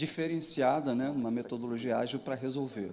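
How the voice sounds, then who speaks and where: A man's fairly high voice with a southern Brazilian accent, fairly even intonation and a moderate pace. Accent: gaúcho. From southern Brazil (Rio Grande do Sul). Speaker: digital transformation consultant and interviewer. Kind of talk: panel moderation at event.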